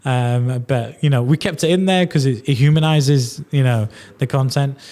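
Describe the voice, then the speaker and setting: Recorded very cleanly against a silent background, a man with a fairly high pitch and a dark, mellow tone speaks with very even loudness and ordinary pitch variation. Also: moderate pace. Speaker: podcast host. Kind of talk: podcast interview.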